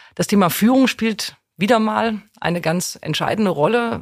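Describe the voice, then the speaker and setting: A woman speaks with vocal fry and ordinary pitch variation. The recording is very clean, with a silent background. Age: 50s. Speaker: corporate HR executive. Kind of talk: interview. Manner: energetic.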